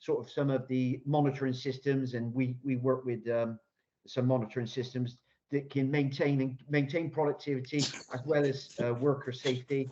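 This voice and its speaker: With a Bristolian accent, a man talks at a fairly quick pace and medium pitch in a monotone, flat intonation. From Bristol, South West England. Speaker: construction innovation consultant. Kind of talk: Q&A answer at online business pitch event. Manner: hesitant, many repetitions and fillers.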